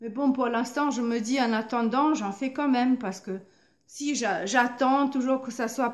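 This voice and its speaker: In a German accent, a woman speaks at a fairly slow pace and a high pitch. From Germany. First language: German (speaking French). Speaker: painter and artist vlogger. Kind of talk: motivational vlog monologue. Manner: halting, many hesitations and repetitions.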